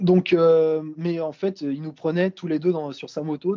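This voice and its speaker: A man's fairly high-pitched, dark, mellow voice at a moderate pace, with a dry, close sound and no echo. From Brittany, France. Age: 20s. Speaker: visually impaired traveler. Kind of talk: interview. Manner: hesitant, many fillers.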